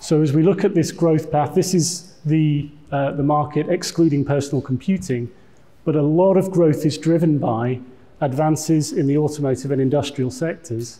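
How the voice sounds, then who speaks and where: A man with a British accent and a fairly high pitch speaks at a moderate pace in a dark, mellow, somewhat breathy tone, with fairly even intonation and audible room echo. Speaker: tech executive giving conference talk. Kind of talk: conference presentation.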